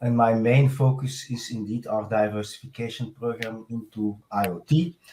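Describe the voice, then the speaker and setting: Somewhat breathy and dark, mellow in tone, a man speaks with a strong Belgian accent and fairly even intonation. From Belgium. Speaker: software architect. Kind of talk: podcast interview.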